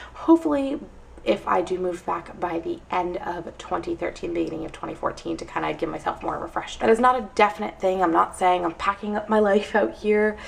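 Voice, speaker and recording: A woman with an American accent, talking very fast over noticeable background noise. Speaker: vlogger. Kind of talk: casual vlog monologue.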